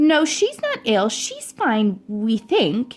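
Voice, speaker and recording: With music in the background, a woman uses a put-on character voice at a fairly high pitch and a very slow pace. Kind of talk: professional, formal.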